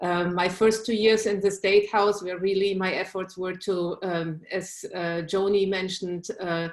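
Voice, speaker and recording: A woman with a German accent talks at a fairly slow pace with hardly any pauses, her medium pitch held in a monotone, flat intonation. Noticeable background noise runs underneath. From Germany. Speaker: state legislator. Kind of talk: candidate speech on video call. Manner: hesitant, many fillers.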